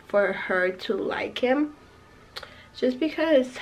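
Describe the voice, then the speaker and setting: A woman speaks very slowly with lively intonation against noticeable background noise. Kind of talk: casual talk to camera.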